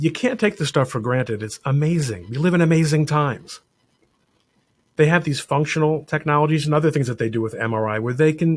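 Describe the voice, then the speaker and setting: This man's voice is fairly high-pitched and somewhat breathy. He moves at a fairly quick pace with lively intonation. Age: 60s. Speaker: lawyer and fill-in radio host. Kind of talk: radio monologue. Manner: conversational, with self-corrections.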